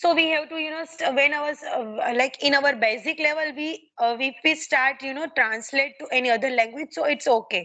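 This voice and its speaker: This raised, projected voice has a bright, sharp tone, a moderate pace, ordinary pitch variation and hardly any pauses. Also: woman, high pitch for a woman. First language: Gujarati. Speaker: English learner. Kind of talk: conversation practice interview. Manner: halting, many fillers.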